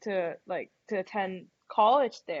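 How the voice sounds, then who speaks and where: Spoken in a Thai accent, the voice shows ordinary pitch variation. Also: woman. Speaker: college golfer. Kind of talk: interview.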